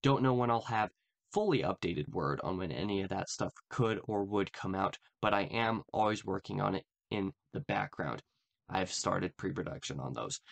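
A man's fairly low voice with vocal fry and lively intonation. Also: moderate pace. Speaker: channel host. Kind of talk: casual vlog update. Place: home room. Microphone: earbuds.

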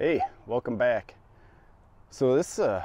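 Recorded with a dry sound with no echo, a man speaks at a fairly slow pace with a fairly low pitch. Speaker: landscaping contractor. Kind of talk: casual job-site commentary. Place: garden. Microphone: lapel.

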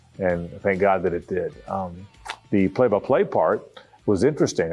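Faint music plays in the background. A man with an American accent speaks at a moderate pace in a fairly low pitch. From Jacksonville, Florida. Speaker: sports radio host and football play-by-play broadcaster. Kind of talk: casual reminiscing interview answer. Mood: warm, nostalgic.

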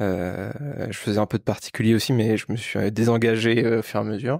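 A man is speaking. His pace is moderate. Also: quiet background, dry sound with no echo. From Normandy, France (Le Havre); Normandy, France. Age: 30s. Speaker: corporate employee and property investor. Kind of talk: casual chat. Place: home room. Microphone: handheld.

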